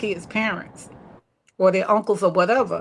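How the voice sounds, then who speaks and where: A woman talks in an ordinary speaking voice at a medium pitch. Her intonation is fairly even and her pace moderate. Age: 60s. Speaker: teacher, one of three siblings on a family talk show. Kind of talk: casual chat.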